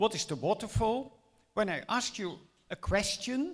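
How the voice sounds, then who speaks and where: Here a man talks with a Dutch accent, his pitch high. His pace is very slow. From Netherlands. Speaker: mathematics education lecturer. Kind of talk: lecture.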